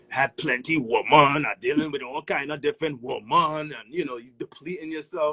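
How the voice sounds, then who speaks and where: With an American accent, the speaker talks at a fairly quick pace with lively intonation, in a dry, close sound with no echo and noticeable background noise. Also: man. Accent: Caribbean-inflected New York English. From Antigua. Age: 40s. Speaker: guest on a parenting live stream. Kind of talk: casual chat. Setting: social media live video. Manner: animated.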